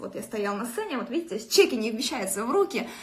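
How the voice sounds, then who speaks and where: A woman's animated voice at a fairly quick pace. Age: 20s. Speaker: network marketing director. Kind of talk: motivational live stream. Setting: live video stream. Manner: fast.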